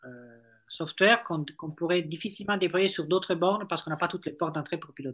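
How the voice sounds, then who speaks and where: A man speaks at a moderate pace with a slight Italian accent. His pitch is high for a man. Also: very clean recording, silent background. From Italy. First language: Italian (speaking French). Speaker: startup founder. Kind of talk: interview.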